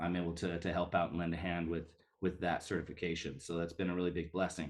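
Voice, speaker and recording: A man with an American accent, at a fairly quick pace. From Western Montana, US. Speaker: missionary. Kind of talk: live video call ministry update. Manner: hesitant, many fillers.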